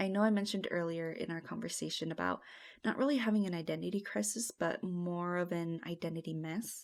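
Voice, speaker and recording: In a very clean recording with a silent background, a woman with an American accent uses a normal speaking voice, fairly low in pitch with ordinary pitch variation, at a fairly quick pace. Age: 20s. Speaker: designer. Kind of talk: casual chat.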